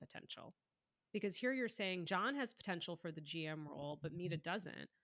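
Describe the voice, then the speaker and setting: A woman with an American accent speaks at a fairly quick pace in a bright, sharp tone with lively intonation. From United States. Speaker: author and inclusion leader. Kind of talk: podcast interview.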